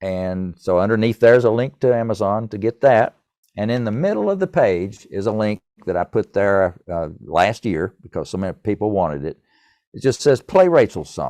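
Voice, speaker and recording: A man with a Tennessee accent and a dark, mellow tone, fairly low pitch with ordinary variation, moderate pace, a quiet background and a dry, close sound with no echo. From East Tennessee. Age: 70s. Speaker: musician and author. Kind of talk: podcast interview.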